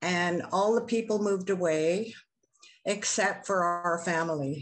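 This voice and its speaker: A woman at medium pitch and a fairly slow pace, with ordinary pitch variation, very even loudness and audible room echo. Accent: Canadian. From western Canada, Vancouver. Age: 70s. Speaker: First Nations chief. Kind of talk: testimony.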